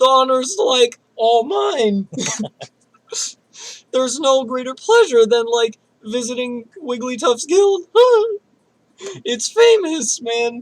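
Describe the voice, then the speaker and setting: A put-on character voice at a fairly high pitch goes at a fairly slow pace, with long, frequent pauses. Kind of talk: casual, laid-back.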